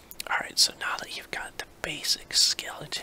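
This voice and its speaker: Noticeable background noise fills the recording. Beneath it, someone whispers fairly slowly. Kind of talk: ASMR drawing tutorial. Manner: whispered.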